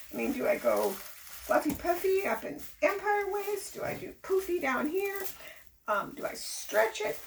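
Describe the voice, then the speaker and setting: A woman speaks with very wide pitch swings. Background noise is noticeable. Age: 60s. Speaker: fashion show contestant, florist. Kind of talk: casual interview.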